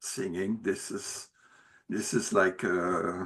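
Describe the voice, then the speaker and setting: A man with a Quebec French accent talks at a very slow pace in a bright, sharp tone. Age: 70s. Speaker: retired musician and peace activist. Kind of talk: interview. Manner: halting.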